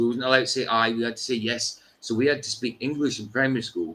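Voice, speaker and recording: A man's medium-pitched voice in a northeast Scottish accent, with fairly even intonation. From Scotland, Doric-speaking northeast. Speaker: livestream host. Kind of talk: casual chat.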